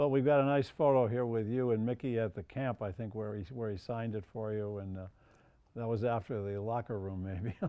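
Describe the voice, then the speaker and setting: This man has a plain, everyday voice. He talks at a fairly quick pace with fairly even intonation. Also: medium pitch for a man. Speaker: TV talk show host. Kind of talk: interview questions.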